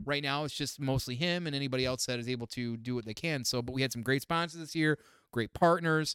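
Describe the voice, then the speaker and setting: Very fast talking from a man, medium in pitch and with ordinary pitch variation. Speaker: podcast host. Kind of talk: casual chat.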